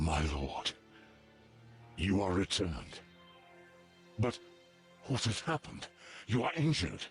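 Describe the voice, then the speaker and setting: Using a put-on character voice, a man speaks fairly low at a moderate pace with long, frequent pauses while faint music plays in the background. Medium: video game. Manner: reverent, intense.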